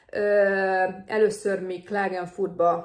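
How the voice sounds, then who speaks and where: A woman's very slow speech at a medium pitch, with monotone, flat intonation. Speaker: nurse vlogger. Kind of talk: advice vlog. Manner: casual, hesitant with fillers.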